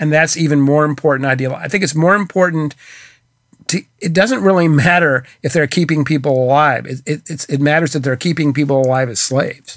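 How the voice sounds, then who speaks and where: An American accent marks this man's fairly high, unremarkable speaking voice, which has ordinary pitch variation. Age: 60s. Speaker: author. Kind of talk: interview.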